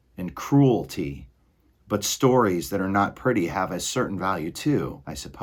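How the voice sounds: Just a natural reading voice.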